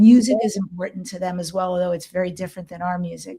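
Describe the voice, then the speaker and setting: A woman's somewhat breathy, dark, mellow voice with an American accent, medium pitch, ordinary pitch variation and a fairly quick pace. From New York. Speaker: podcast host, ET contactee and shamanic healer. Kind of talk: interview.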